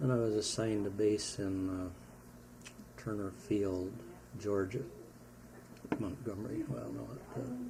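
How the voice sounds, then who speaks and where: Over noticeable background noise, a man with an American accent speaks at a fairly slow pace and a fairly low pitch, using ordinary pitch variation and long, frequent pauses. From Wisconsin, USA. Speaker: war veteran. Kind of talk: interview answer.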